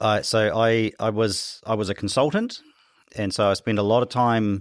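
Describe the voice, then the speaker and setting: The recording is very clean and dry, with a silent background and a close sound free of echo. A man speaks at a fairly low pitch with fairly even intonation. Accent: New Zealand. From New Zealand. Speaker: tech company CEO. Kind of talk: podcast interview. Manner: repetitive false starts.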